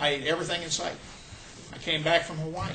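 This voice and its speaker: A man speaks with a high pitch. There is audible room echo and noticeable background noise. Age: 60s. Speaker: health product distributor giving a talk. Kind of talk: testimony. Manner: casual, halting.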